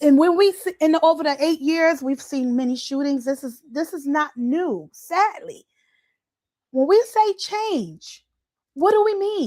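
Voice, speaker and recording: A woman speaks loudly at an extremely high pitch, her intonation lively. Her pace is fairly slow. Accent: American. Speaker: livestream host and community organizer. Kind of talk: impassioned community livestream address. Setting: live video stream with comments. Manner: deliberately calm and measured, holding back loudness; normally loud when excited.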